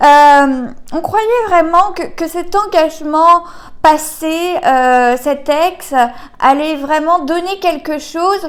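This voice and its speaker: Her voice is extremely high-pitched, with ordinary pitch variation. The woman speaks at a very slow pace. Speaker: tarot card reader. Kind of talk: card reading guidance video. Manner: halting, many fillers.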